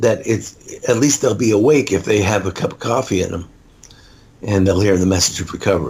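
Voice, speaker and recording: A man is speaking. His intonation is lively. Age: 60s. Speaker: author and speaker on addiction recovery. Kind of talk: interview.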